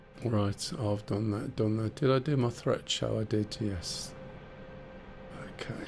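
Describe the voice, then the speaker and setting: A British accent at a fairly slow pace, with long, frequent pauses and noticeable background noise. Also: man, medium pitch for a man, ordinary pitch variation. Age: 60s. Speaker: flight sim streamer. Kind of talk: live gameplay stream. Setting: live stream. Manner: ranty.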